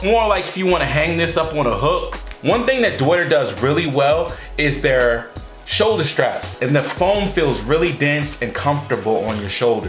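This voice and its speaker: Faint music plays behind a man speaking at a moderate pace with audible room echo. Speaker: product reviewer. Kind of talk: product review talk to camera. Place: kitchen.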